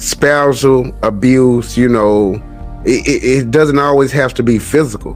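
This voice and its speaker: A man is speaking at a fairly slow pace. Music sounds in the background. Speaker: podcast host. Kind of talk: podcast interview host talk. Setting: studio.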